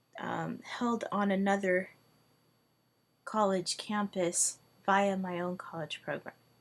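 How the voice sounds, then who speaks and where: A woman at a medium pitch speaks at a very slow pace with fairly even intonation and long, frequent pauses. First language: Hungarian. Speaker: language tutor. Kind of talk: video monologue.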